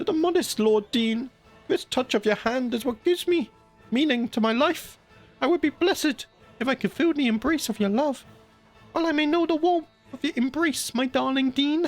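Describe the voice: The speaker uses a put-on character voice at a high pitch. Faint music plays in the background. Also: moderate pace.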